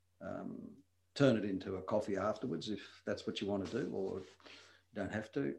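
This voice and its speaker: A man talks at a moderate pace and a fairly low pitch, with ordinary pitch variation. His voice is somewhat breathy, and he leaves long, frequent pauses. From Wales, then Tasmania, Australia from age 10. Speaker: retired doctor. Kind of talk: casual interview. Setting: studio, same room as host.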